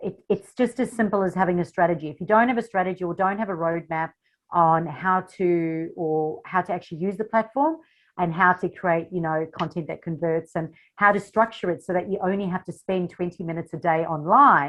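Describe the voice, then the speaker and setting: A woman speaks in a South African accent at a fairly quick pace. Her pitch is fairly low, with ordinary pitch variation. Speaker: social media marketing coach. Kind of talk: interview. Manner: animated.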